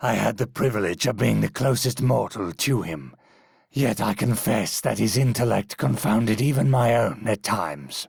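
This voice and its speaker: Doing a put-on character voice, a man speaks at medium pitch and a moderate pace. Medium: solo performance. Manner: formal, reflective.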